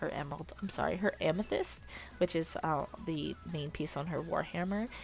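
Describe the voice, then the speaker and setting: A woman speaks at a moderate pace as music plays in the background. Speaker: digital artist. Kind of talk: casual voiceover commentary.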